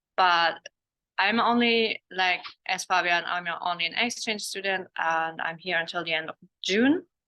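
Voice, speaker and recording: The woman's fairly low voice moves at a fairly slow pace with fairly even intonation. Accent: German. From Germany. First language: German. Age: 20s. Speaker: exchange student. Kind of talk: student testimonial in webinar.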